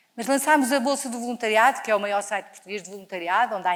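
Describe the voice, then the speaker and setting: In an animated tone, a woman speaks with lively intonation. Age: 60s. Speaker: charity leader. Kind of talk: inspirational talk. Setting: stage with audience.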